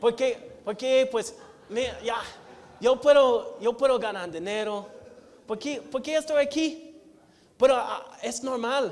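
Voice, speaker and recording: The man speaks at a very slow pace in an American accent. Room echo is audible. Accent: American accent in Spanish, mocked by family. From United States. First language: English (speaking Spanish). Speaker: missionary preacher. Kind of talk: sermon. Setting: church. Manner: halting, with many repetitions and fillers.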